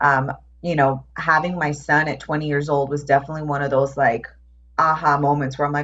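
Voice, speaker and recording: Fairly quick and somewhat breathy, a woman with an American accent talks in a very deep, low voice. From New York. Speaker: transformation coach. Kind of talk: casual chat.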